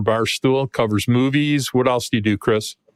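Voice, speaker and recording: A man speaks in a normal speaking voice at medium pitch and a moderate pace. The sound is dry and close with no echo. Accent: American. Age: 60s. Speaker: sports podcast host. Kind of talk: casual podcast chat.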